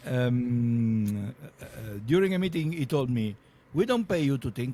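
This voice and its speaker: Speaking with an Italian accent, a man has a dark, mellow tone at a medium pitch. His intonation is lively and his pace moderate. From Italy. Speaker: podcast host. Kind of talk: interview conversation. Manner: halting, many fillers.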